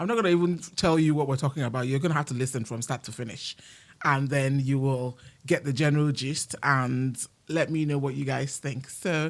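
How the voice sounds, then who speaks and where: At a fairly quick pace with ordinary pitch variation, the voice comes through on a very clean recording with a silent background. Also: woman, very deep, low pitch for a woman. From Nigerian heritage. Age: 50s. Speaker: podcast host. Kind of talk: casual chat.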